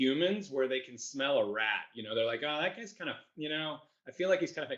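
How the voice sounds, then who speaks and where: His intonation is lively. The man speaks at a very fast pace. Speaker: company founder. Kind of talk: panel discussion. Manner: loud; animated.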